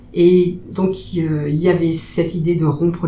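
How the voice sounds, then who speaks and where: Recorded with noticeable background noise and audible room echo, a woman speaks at a fairly low pitch. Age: 50s. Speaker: psychiatric nurse. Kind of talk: interview. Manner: hesitant, many fillers.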